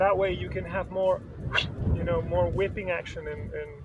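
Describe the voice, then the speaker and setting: A man's voice comes through loud background noise with a dry sound and no echo. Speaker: amateur golfer vlogger. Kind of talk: casual vlog chat. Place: open country. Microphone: phone near.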